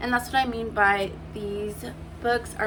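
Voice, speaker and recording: A woman speaks at a moderate pace with a medium pitch and monotone, flat intonation, with audible room echo and noticeable background noise. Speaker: writing vlogger. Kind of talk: casual vlog talk. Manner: halting, stumbling over words.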